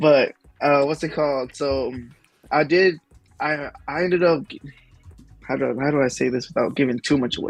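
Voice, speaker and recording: With music playing behind him, a man with a Southern US accent talks at a moderate pace and a fairly high pitch. His intonation stays fairly even, broken by long, frequent pauses. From US South. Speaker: YouTuber, Pokemon card content creator. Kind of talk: casual chat. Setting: live-streamed podcast.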